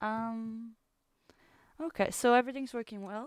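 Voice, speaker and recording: In a very clean recording with a silent background and a dry, close sound with no echo, a woman with a French accent speaks at a fairly high pitch. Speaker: livestreamer. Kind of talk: casual chat. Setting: livestream.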